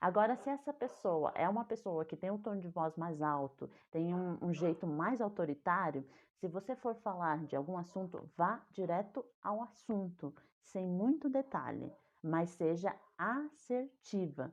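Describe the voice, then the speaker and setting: Speaking fairly slowly with lively intonation, a woman has an ordinary speaking voice at a fairly low pitch. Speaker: communication coach. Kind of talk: online talk on communication.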